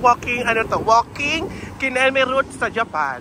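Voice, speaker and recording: A man's raised, projected voice at a fairly slow pace, with noticeable background noise. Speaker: travel vlogger. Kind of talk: travel vlog narration. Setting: outdoors. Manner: casual, chatty.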